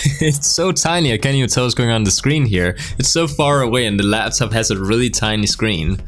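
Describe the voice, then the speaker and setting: Over music in the background, a man talks fairly quickly with lively intonation and very even loudness. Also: medium pitch for a man, hardly any pauses. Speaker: web design tutor. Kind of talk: casual tutorial talk to camera.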